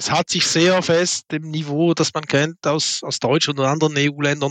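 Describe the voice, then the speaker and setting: A man with a Swiss German accent speaks at a fairly high pitch and a moderate pace, with a dry, close sound with no echo and a quiet background. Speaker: logistics sales executive. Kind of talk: business panel discussion. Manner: halting, many fillers.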